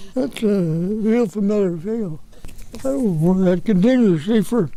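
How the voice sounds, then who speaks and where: Music in the background behind a man with a high pitch, at a fairly slow pace, with audible room echo. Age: 80s+. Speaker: retired aircraft engineer. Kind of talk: interview.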